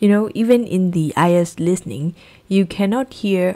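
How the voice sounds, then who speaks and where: Over a very clean recording and silent background, a woman with a medium-pitched, dark and mellow voice talks at a fairly slow pace with fairly even intonation. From Myanmar. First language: Burmese. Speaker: English teacher. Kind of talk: tutorial.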